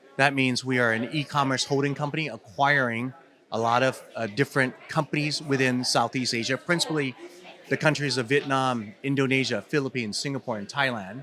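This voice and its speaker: Noticeable background noise sits behind this recording. A man with a Californian accent speaks in a fairly even intonation. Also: medium pitch for a man, fairly quick pace. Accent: California. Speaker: company CEO. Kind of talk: interview. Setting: event floor. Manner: hesitant, many fillers.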